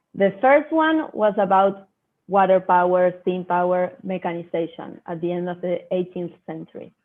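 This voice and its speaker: A woman speaks at a moderate pace with a Spanish accent. Her pitch is medium, with ordinary variation. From Argentina, Buenos Aires. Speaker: agribusiness innovation professional. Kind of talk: online talk presentation.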